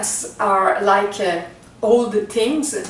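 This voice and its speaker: Speaking at a very slow pace in a Quebec accent, a woman uses lively intonation and a fairly high pitch, with audible room echo around her. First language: French. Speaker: spiritual teacher. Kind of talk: talk to camera introducing a spiritual reading. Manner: slow, halting with many fillers.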